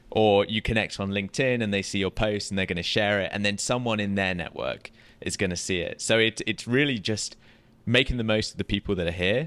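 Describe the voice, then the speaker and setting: A man with a British accent talks at a fairly quick pace in a fairly low voice. The intonation is fairly even and the recording very clean, with a silent background. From UK. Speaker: podcast co-host, real estate tech business. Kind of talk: casual chat. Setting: live at a conference in Las Vegas.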